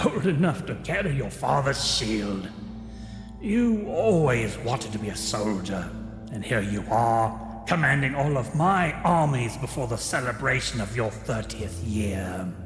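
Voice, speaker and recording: Over loud background noise, a man puts on a character voice at a medium pitch and a moderate pace, with a slight echo around him. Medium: audio drama. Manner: measured, regal.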